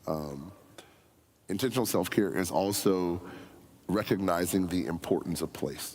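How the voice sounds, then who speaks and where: A man with an American accent and a very deep, low pitch, ordinary pitch variation, a fairly slow pace and audible room echo. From US, near a National Forest. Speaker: senior pastor candidate. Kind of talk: Q&A forum answer. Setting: church forum with live audience. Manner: loud; animated.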